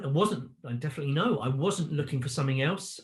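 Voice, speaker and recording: A man speaks at a very fast pace. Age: 50s. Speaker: online business owner, former corporate salesman. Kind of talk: interview answer.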